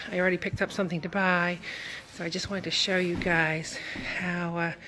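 A woman talks very fast in a monotone, flat delivery over noticeable background noise. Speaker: vlogger. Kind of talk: casual vlog chat. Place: shop. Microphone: phone near.

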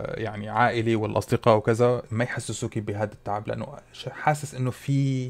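A man speaks at medium pitch with fairly even intonation. He keeps a moderate pace. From UAE, Syrian family. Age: 30s. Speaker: food content creator. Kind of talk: casual Q&A vlog.

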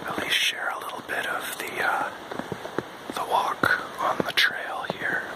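Whispering at a fairly slow pace. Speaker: hiker vlogger. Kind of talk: ASMR outdoor walk narration. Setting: outdoors. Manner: soft-spoken, whispered. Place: forest. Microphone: phone near.

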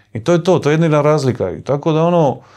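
Very fast speech in a Dalmatian accent, over a quiet background. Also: man. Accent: Dalmatian Croatian. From Dalmatia, Croatia (Omiš); Dalmatia, Croatia. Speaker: adventurer and travel vlogger; travel vlogger. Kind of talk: casual chat. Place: home room. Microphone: lapel.

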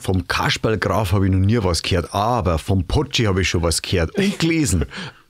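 A man's very deep, low, somewhat breathy voice with a Bavarian accent, lively intonation, very even loudness and a fairly quick pace. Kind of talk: podcast conversation.

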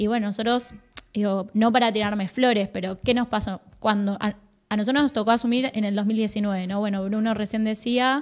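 At a moderate pace, a woman speaks in a fairly high voice with fairly even intonation over a quiet background. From Argentina. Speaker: provincial youth director, government official; guest. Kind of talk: casual interview chat. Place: studio. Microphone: studio mic.

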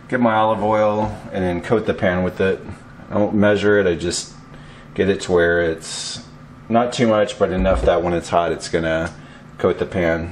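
Light background noise runs under this recording. A man with a very deep, low pitch speaks at a moderate pace. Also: ordinary pitch variation. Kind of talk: tutorial. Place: kitchen. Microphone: camera far.

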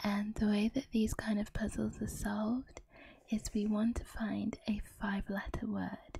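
A soft-spoken woman talks at a fairly slow pace and fairly high pitch, in a somewhat breathy, dark, mellow tone. Her intonation is monotone and flat, the sound is dry with no echo, and light background noise is present. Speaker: ASMR creator. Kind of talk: ASMR puzzle solving talk.

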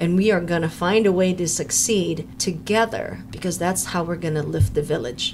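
A woman with an American accent speaks at a fairly quick pace in a fairly low voice, with noticeable background noise behind her. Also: ordinary pitch variation. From US, Filipino American. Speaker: podcast host, procurement consultant. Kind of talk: interview podcast. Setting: studio.

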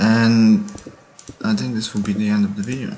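Over light background noise, a man with a French accent speaks at a fairly slow pace with ordinary pitch variation. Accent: French-sounding R, non-native. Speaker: gamer. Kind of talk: gameplay commentary. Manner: casual, rambling self-talk.

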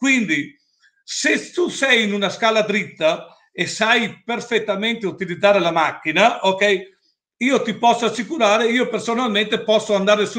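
A man speaks at a moderate pace in a high pitch with a bright, sharp tone. His pitch varies in an ordinary way, and the background is quiet. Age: 60s. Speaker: stairlift equipment seller; presenter. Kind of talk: product presentation with Q&A. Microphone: video call.

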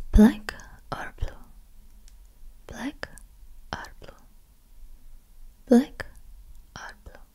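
Whispering from a woman at a very slow pace, broken by long, frequent pauses. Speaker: ASMR creator playing an interviewer. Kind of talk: ASMR roleplay, personality test interview. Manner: soft-spoken, whispering. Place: home room. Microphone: studio mic.

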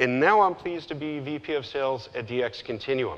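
A man's moderate pace, with ordinary pitch variation. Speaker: presenter. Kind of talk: conference talk. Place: stage. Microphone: lapel.

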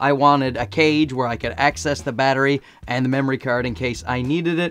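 Here a man at medium pitch talks at a moderate pace with a fairly bright tone and fairly even intonation.

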